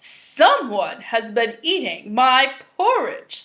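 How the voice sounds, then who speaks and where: A woman uses a put-on character voice, growling at a high pitch and a very slow pace. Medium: read story.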